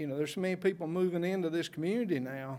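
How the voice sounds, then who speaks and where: Speaking at a very fast pace, a man talks with a North Carolina accent. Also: very clean recording, silent background. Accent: Southern US (North Carolina). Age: 60s. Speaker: public commenter. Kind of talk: public comment at council meeting. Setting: county board meeting.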